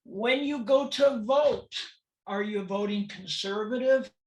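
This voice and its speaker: Somewhat breathy and very slow, the voice carries an American accent and ordinary pitch variation. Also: woman. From California, US. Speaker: transgender awareness speaker. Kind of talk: presentation talk. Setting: webinar.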